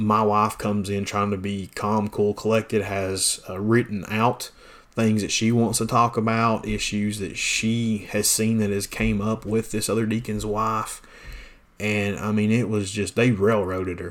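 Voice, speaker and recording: Speaking fairly slowly, a man delivers his words in a fairly low pitch with monotone, flat intonation. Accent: Southern US. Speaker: pastor. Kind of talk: podcast monologue, casual and preachy. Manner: casual, folksy.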